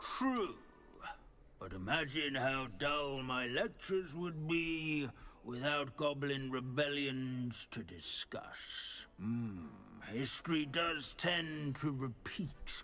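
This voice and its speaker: A man's put-on character voice, fairly high and very slow, over clear background noise. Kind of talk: scholarly lecture. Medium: video game. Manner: droning, pedantic.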